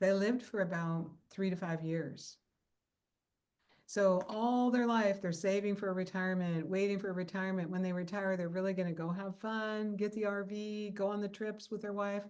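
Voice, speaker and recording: A woman with a Pacific Northwest accent talks at a moderate pace in a medium-pitched voice with fairly even intonation. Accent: American (Pacific Northwest). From US Pacific Northwest (Seattle). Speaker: podcast host, dream coach. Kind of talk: interview.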